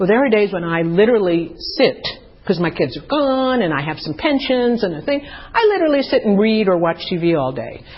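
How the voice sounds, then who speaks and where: Speaking at a fairly quick pace, a woman with a medium pitch makes very wide pitch swings. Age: 70s. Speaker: 12-step meeting speaker. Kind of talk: testimony.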